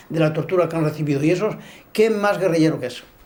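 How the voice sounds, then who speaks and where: A man talks with ordinary pitch variation. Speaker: former guerrilla fighter. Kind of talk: documentary interview testimony.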